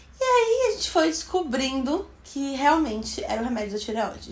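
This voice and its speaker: A woman with a Bahian accent talks over noticeable background noise. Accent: Bahian Brazilian Portuguese. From Bahia, Brazil. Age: 20s. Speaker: beauty vlogger. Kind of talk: casual talk to camera.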